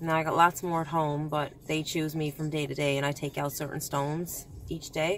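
A woman with a very deep, low pitch speaks at a fairly quick pace in a monotone, flat way. The sound is dry with no echo, and faint music plays in the background. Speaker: vlogger. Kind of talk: casual vlog chat. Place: car. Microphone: phone near.

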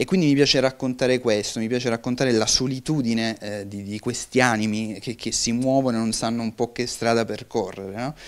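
With hardly any pauses, a man speaks at a medium pitch and fairly even intonation. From Sicily, Giarre; Sicily. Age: 20s. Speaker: film director; interviewee. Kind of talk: interview. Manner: halting, with frequent repetitions. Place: studio. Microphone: handheld.

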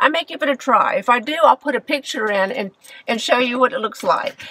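A woman uses a raised, projected voice, and the sound is dry with no echo. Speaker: style vlogger. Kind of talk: casual vlog chat. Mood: enthusiastic, chatty. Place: car. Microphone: phone near.

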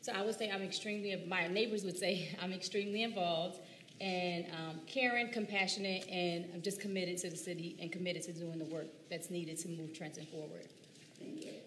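With an American accent, the speaker moves at a fairly quick pace over light background noise. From US Northeast. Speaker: teacher and council candidate. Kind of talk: candidate forum speech. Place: hall.

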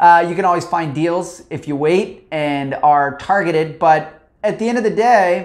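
A man speaks with a high pitch and ordinary pitch variation. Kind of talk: informational talk to camera. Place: office. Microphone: lapel.

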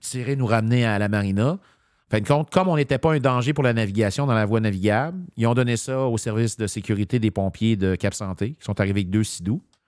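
At a fairly quick pace, a man speaks with ordinary pitch variation in a dry sound with no echo against a quiet background. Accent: Quebec. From Quebec. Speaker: municipal politician. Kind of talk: political commentary in casual chat. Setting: studio. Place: studio.

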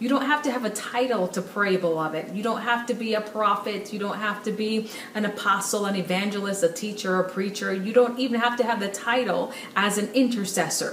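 Room echo is audible and light background noise runs underneath as a woman speaks at a fairly quick pace with fairly even intonation. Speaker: speaker. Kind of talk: sermon-like direct-to-camera message. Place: home room.

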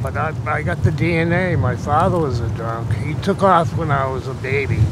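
With loud background noise but a dry sound with no echo, a man speaks at medium pitch and a moderate pace. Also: lively intonation. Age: 60s. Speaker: homeless man. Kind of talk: interview answer. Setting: outdoors. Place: street.

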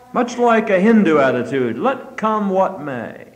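Music plays behind a man speaking at a moderate pace. His pitch swings very widely. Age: 50s. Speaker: preacher. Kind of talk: sermon. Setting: church. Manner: fervent, exhortative. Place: church.

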